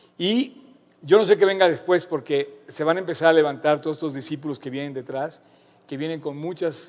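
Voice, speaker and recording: This man has a fairly high voice and an animated tone. He speaks at a moderate pace with ordinary pitch variation. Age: 50s. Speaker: pastor. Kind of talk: sermon.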